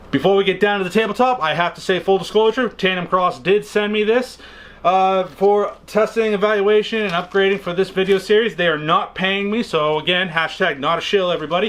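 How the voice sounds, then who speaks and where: Speaking in an American accent, the voice moves at a fairly quick pace with ordinary pitch variation. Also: man, high pitch for a man. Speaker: firearms YouTuber. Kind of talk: product tutorial. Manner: casual, chatty.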